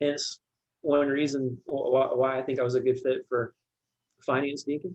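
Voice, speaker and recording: Quiet and monotone, a man speaks at a fairly slow pace with flat intonation in a dry, close sound with no echo. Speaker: church deacon of finance. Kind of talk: podcast interview. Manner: quiet, reserved.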